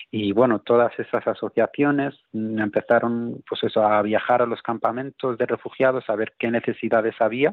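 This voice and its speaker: Speaking in a flat monotone, a man talks at a moderate pace and a medium pitch. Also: hardly any pauses. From Spain. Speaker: political activist. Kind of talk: interview. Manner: halting, with repetitions and fillers.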